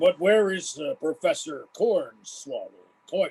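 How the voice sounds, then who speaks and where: Using a put-on character voice, a man speaks at a high pitch and a fairly slow pace. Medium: audio drama.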